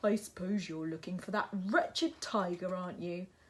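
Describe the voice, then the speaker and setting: A female-sounding voice puts on a gruff character voice at a medium pitch. The pace is moderate. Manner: gruff, disapproving.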